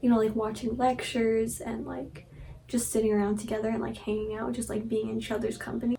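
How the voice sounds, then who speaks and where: A soft-spoken woman talks at a very fast pace in a flat, monotone delivery. Noticeable background noise runs underneath. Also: fairly high pitch for a woman. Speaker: vlogger. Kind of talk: casual vlog chat. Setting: childhood bedroom at night. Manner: soft-spoken, talking quietly. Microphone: recording may be too quiet.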